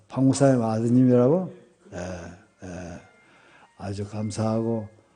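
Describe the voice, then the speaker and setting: A man with a medium-pitched voice talks in a space with audible room echo. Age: 70s. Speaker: retired senior pastor. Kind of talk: revival sermon. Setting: church revival meeting.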